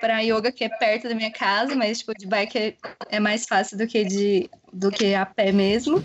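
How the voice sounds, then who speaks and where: Speaking at a fairly slow pace, a woman has a fairly high pitch and an ordinary speaking voice. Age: 20s. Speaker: pregnant cyclist. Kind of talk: casual chat.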